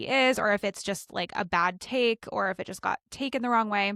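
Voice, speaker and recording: A woman's fairly high voice with ordinary pitch variation, in a dry, close sound with no echo. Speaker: podcast co-host. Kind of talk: casual chat. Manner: quiet. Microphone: close to the mic.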